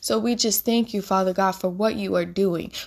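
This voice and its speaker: Unremarkable speaking voice of a woman, showing ordinary pitch variation. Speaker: minister and podcast host. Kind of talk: fervent prayer, spoken aloud to God. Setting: podcast recording, addressing listeners. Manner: warm, earnest, pleading, with repeated invocations; heartfelt, intimate, devotional.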